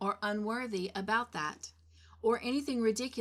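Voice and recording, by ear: Someone is reading aloud in a natural voice.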